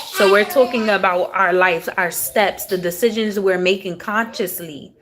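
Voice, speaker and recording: A woman speaks at medium pitch and a moderate pace with ordinary pitch variation. Noticeable background noise is present. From US South, raised in Houston, Texas. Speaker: tarot reader. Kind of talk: live-stream tarot reading, casual spiritual talk. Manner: casual, conversational.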